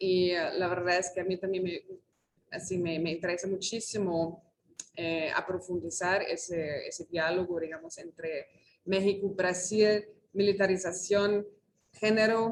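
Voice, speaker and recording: A woman's fairly slow, monotone delivery with flat intonation. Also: medium pitch for a woman. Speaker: researcher. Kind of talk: invited talk. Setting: auditorium, video call. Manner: halting, many fillers.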